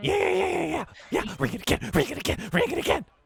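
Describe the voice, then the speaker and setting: The speaker uses a put-on character voice. The delivery comes at a very fast pace. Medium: actual play. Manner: cheeky, theatrical.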